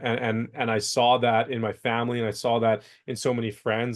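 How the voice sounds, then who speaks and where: With a slight Canadian accent, a man speaks at a moderate pace and medium pitch. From Canada, BC, near Vancouver. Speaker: entrepreneur. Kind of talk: interview. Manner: halting, repeats words.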